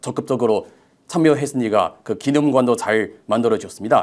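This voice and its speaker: A man's medium-pitched voice shows ordinary pitch variation in a very clean recording with a silent background. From China. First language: Chinese (speaking Korean). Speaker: researcher, former professor. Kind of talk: interview. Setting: studio. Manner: halting.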